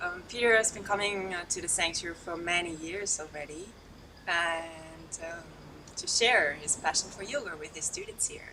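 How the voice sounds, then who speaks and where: A woman's voice shows ordinary pitch variation and big swings in loudness over noticeable background noise. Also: fairly low pitch for a woman, moderate pace. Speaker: interviewer.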